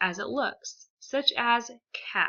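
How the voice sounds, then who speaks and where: Against a quiet background, a woman with an American accent speaks at a high pitch in a bright, sharp tone. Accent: leveled Southern accent, slips back. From South Texas. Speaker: student. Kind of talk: class presentation. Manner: scripted reading.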